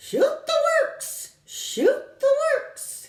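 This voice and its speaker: A female-sounding voice, shrill and squeaky, does a put-on character at an extremely high pitch. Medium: read story. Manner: repeats short stock phrases.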